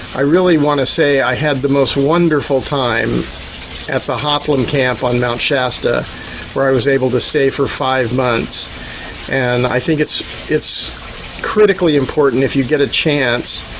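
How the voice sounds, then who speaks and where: Amid noticeable background noise, a man with a fairly high pitch talks at a fairly slow pace with fairly even intonation and very even loudness. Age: 60s. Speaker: founder of an environmental restoration organization. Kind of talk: casual talk on a video call. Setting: video call.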